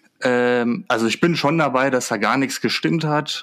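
This man has a normal speaking voice, medium pitch and ordinary pitch variation, and he talks at a fairly slow pace. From Germany, Würzburg area (Lower Franconia). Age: 20s. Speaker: football fan. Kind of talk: casual chat.

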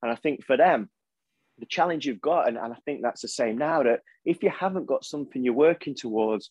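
A man's fairly high voice with an East Midlands accent, ordinary pitch variation and a dry, close sound with no echo. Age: 40s. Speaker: motivational speaker and coach. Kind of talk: interview conversation.

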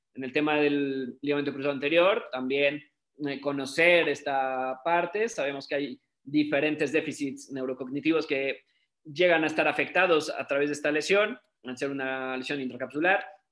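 Moderate pace and fairly even intonation in an ordinary speaking voice. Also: man, fairly high pitch for a man. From Mexico. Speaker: sports physiotherapist. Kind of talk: online talk / presentation.

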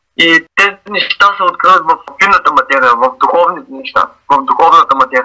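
Music in the background behind a man talking fairly quickly at very even loudness, in a dry, close sound with no echo. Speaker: graffiti artist. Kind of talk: interview. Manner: halting.

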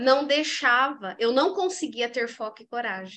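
Over a quiet background, a bright, sharp tone comes through at a fairly slow pace. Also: woman. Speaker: leadership coach and mentor. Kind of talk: casual interview chat. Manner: animated.

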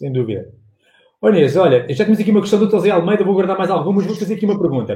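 This man's voice is high-pitched, with a dark, mellow tone. He speaks very fast, his intonation lively. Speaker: sales livestream host. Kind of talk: live interview stream. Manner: animated.

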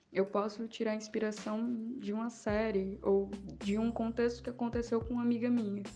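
Over noticeable background noise, a woman speaks in a monotone, flat intonation at a fairly high pitch. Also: moderate pace. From Paraíba, northeastern Brazil. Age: 20s. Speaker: poet and communication student. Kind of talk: interview.

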